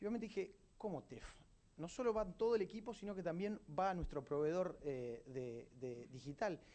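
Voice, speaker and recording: This man's pitch swings very widely as he talks at a moderate pace. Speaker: event and podcast host. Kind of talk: event introduction. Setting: stage with audience.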